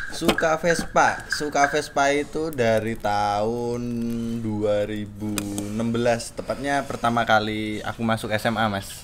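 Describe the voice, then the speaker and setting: With music playing behind him, a man talks at a fairly slow pace. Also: medium pitch for a man, ordinary pitch variation. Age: 20s. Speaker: Vespa owner. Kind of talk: casual interview.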